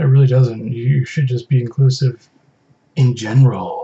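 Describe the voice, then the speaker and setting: At a moderate pace, a man performs a put-on character voice at medium pitch. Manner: playful, dramatic.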